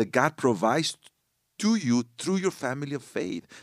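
Speaking with a Spanish accent and lively intonation, a man is heard in a very clean recording with a silent background and a dry, close sound with no echo. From northern Mexico. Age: 40s. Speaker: worship pastor. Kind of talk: casual chat. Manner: halting.

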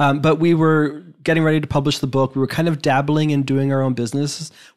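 A man at a fairly high pitch and a very fast pace, on a very clean recording with a silent background. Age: 40s. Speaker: personal finance podcaster. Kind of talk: interview.

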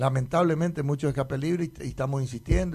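Against a quiet background, a man speaks in a dark, mellow tone. His voice is somewhat breathy, with fairly even intonation. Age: 50s. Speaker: municipal traffic director. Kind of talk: radio interview. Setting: radio studio. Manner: halting, many repetitions.

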